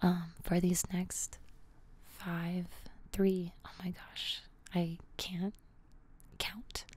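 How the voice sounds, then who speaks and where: A soft-spoken woman's somewhat breathy, fairly low voice, monotone and flat, at a very slow pace with long, frequent pauses and big swings in loudness. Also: dry sound with no echo. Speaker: ASMR creator. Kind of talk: ASMR guided grounding exercise. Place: home room. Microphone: studio mic.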